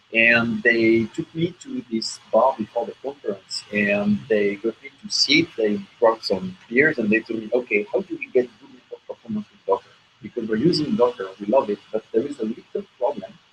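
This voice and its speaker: Moderate-paced speech with hardly any pauses and big swings in loudness, dry and close with no echo, over music in the background. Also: man. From France. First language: French. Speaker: software engineer presenting at tech meetup. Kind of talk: tech talk presentation. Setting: meetup room with audience, broadcast on hangout.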